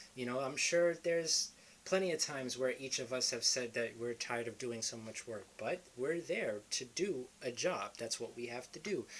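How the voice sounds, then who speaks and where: A man with a New York accent speaks at a moderate pace and medium pitch, using ordinary pitch variation and hardly any pauses. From New York City, the Bronx. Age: 20s. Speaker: motivational vlogger. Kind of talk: motivational talk to camera.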